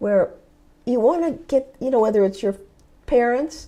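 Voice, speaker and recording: Her voice is high for a woman, with a dark, mellow tone. The intonation is lively. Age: 70s. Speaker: motivational speaker and life coach. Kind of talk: interview.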